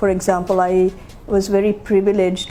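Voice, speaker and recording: Noticeable background noise accompanies a woman speaking at a fairly slow pace with a medium pitch. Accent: American. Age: 60s. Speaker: LGBT activist and interviewee. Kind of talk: documentary interview. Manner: hesitant, many fillers.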